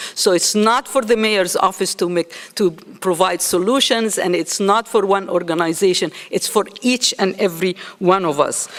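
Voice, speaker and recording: A woman speaks at a medium pitch and a moderate pace, with ordinary pitch variation and very even loudness. Noticeable background noise runs under her voice. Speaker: nursing school dean. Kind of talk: conference speech.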